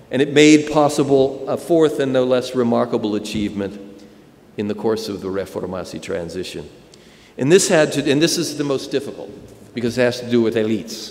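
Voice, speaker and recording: With an American accent, a man talks with lively intonation, and the room echo is audible. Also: medium pitch for a man, fairly quick pace. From United States. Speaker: professor. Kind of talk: lecture. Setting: conference stage with audience.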